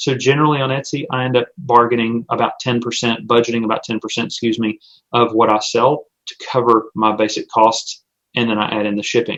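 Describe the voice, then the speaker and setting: At a fairly quick pace, a man speaks at a medium pitch with fairly even intonation. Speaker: small business owner and online seller. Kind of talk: webinar presentation. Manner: fast.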